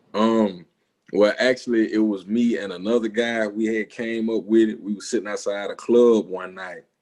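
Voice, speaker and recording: A man with a strong Southern accent speaks at a moderate pace in a fairly low pitch, his intonation fairly even. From US South, Alabama. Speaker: music producer. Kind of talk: interview. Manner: casual, slangy.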